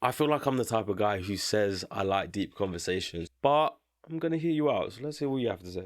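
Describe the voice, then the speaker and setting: On a very clean recording with a silent background, a man at a medium pitch sounds animated, his pitch swinging very widely. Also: fairly quick pace. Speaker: YouTuber reacting to opinions. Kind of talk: casual reaction commentary. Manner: fast.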